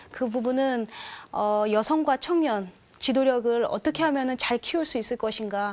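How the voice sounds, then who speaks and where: Ordinary pitch variation at a moderate pace. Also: woman, high pitch for a woman. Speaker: church youth delegate. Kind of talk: panel discussion. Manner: hesitant with fillers.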